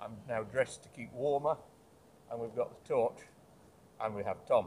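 At a moderate pace, a man talks with very wide pitch swings over light background noise. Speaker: urban explorer vlogger. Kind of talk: casual vlog chat. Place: forest. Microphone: phone near.

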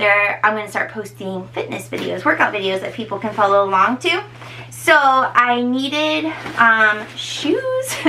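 Faint noise runs underneath. The woman talks at a rather unhurried pace. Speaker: personal trainer. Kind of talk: casual vlog chat. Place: home room. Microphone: camera far.

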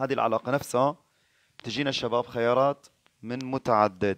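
Speaking at a moderate pace, a man has a medium pitch and ordinary pitch variation. The sound is dry and close, with no echo. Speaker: physics teacher. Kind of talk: live online exam review lesson. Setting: live stream.

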